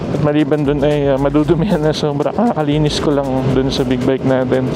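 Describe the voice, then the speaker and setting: A fairly high-pitched man at a fairly quick pace over music in the background. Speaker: motorcycle vlogger. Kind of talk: casual vlog narration while riding. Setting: riding a motorcycle at night. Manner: soft-spoken; calm.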